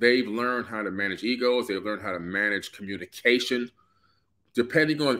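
The pace is fairly quick. The voice belongs to a man. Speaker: co-host of live stream. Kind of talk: casual live chat. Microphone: phone near.

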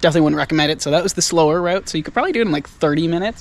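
A man speaks with fairly even intonation over background music, the sound dry with no echo. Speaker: commuting vlogger. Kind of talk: casual vlog chat. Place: street. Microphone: phone near.

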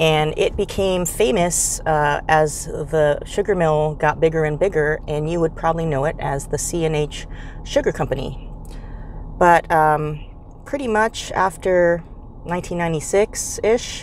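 Against light background noise and with a dry, echo-free sound, a woman with a fairly low pitch speaks at a very slow pace with ordinary pitch variation. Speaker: travel vlogger. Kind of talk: casual vlog chat. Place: car. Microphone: phone near.

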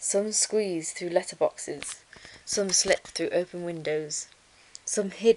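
Read aloud in a natural voice, with ordinary pitch variation.

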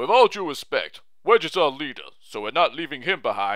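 A man puts on a character voice. His pitch is fairly high and swings very widely.

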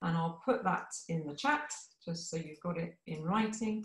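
A somewhat breathy woman at a moderate pace, with audible room echo over a quiet background. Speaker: session organiser and moderator. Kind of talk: welcome and closing remarks. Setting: video call. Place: home room. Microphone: video call.

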